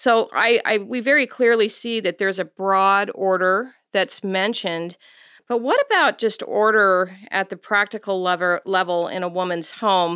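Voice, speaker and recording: The tone of this woman's voice is bright and sharp. Her recording is very clean over a silent background. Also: medium pitch for a woman, ordinary pitch variation, moderate pace. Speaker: biblical counselor and podcast co-host. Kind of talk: casual chat.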